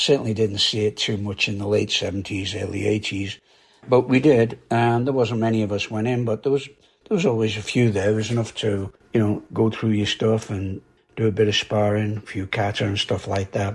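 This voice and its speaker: Fairly low-pitched and somewhat breathy, a man speaks at a fairly quick pace. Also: fairly even intonation. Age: 80s+. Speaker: karate instructor. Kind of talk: casual podcast monologue.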